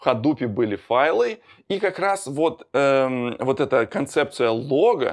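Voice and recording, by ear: Recorded very cleanly with a silent background, a man talks at a fairly slow pace in a medium pitch, his intonation lively.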